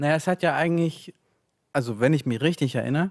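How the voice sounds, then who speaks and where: Fairly even intonation marks a man's speech over a quiet background. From Ukraine (Kyiv), raised in Leipzig from age 8. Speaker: author. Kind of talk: reading aloud; interview answer. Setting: stage with audience. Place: stage. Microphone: studio mic.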